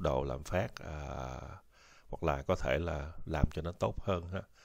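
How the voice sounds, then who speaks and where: The recording is very clean, its background silent. A man talks with a very deep, low pitch. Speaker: YouTube educator on US social benefits and retirement. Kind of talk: informal educational talk. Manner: halting, many fillers.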